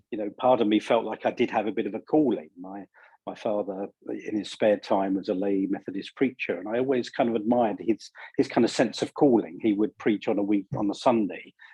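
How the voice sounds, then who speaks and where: Fairly even in intonation, a man talks at a fairly quick pace. He speaks with a British accent. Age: 60s. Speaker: leadership coach and author. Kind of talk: interview.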